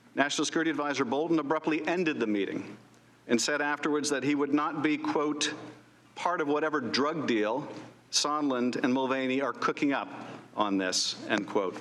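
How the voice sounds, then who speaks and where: At a moderate pace and very even loudness, a man speaks in a fairly high voice with ordinary pitch variation over noticeable background noise. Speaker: congressman. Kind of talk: formal opening statement at hearing.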